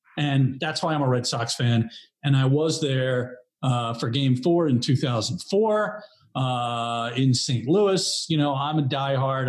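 Speaking fairly slowly with an American accent, the man has a somewhat breathy voice. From New York area. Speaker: graphic designer. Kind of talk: casual chat.

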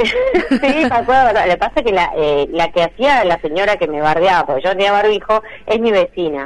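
Moving at a moderate pace, a woman's medium-pitched voice swings very widely in pitch. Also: hardly any pauses. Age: 40s. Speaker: comedian. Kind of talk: casual chat.

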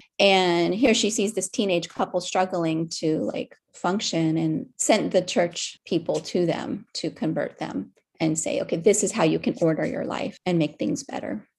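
An ordinary speaking voice, a woman with an American accent speaks at a moderate pace and medium pitch with lively intonation. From US, Miami. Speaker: artist. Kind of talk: interview. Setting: video call.

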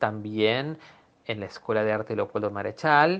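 A man speaks with an unremarkable speaking voice. His pitch variation is ordinary. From Peru. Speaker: cellist. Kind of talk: interview.

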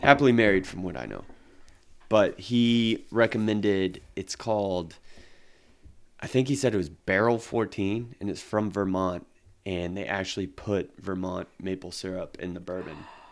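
In a very clean recording with a silent background, a man with a plain, everyday voice speaks at a fairly low pitch and a moderate pace, with ordinary pitch variation and big swings in loudness. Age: 30s. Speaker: podcast co-host. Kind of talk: casual chat.

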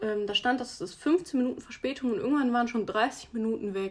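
Her pitch is high and her pitch variation ordinary as the woman talks. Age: 20s. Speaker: podcast host, athlete. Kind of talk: casual solo podcast talk. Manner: animated.

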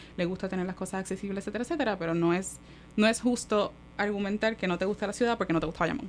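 A woman's very fast voice with fairly even intonation, music playing in the background. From Puerto Rico, Manatí. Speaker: architect, urban studies researcher. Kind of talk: casual chat.

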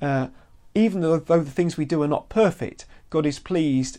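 The speaker has a British accent and a moderate pace. The background is quiet. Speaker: Bible teacher. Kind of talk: bible teaching video podcast. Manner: halting, many fillers and repeats.

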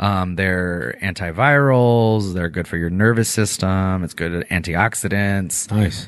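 A man speaks at a fairly slow pace in a plain, everyday voice, with fairly low pitch and ordinary pitch variation. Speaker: podcast co-host and stage performer. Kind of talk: casual chat.

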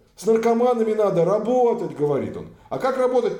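A man's voice carries a dark, mellow tone, with audible room echo around it. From Russia. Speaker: human rights activist, former police officer. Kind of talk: casual interview.

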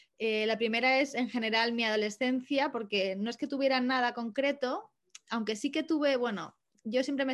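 At a moderate pace, a woman talks in an unremarkable speaking voice over a quiet background. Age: 20s. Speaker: astrologer and photographer. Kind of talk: interview conversation.

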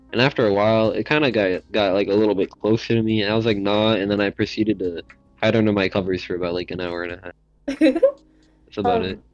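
Mumbling at a very fast pace, a man talks at a fairly low pitch with fairly even intonation. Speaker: podcast co-host. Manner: fast talker, mumbles.

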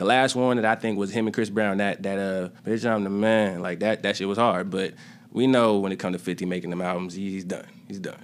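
A man with a plain, everyday voice talks at a fairly quick pace in a fairly low pitch, with fairly even intonation. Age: 20s. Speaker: rapper. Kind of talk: casual chat.

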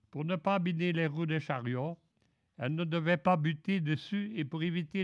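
A man against a quiet background. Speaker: retired railway worker. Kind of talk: prepared talk read aloud. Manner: formal.

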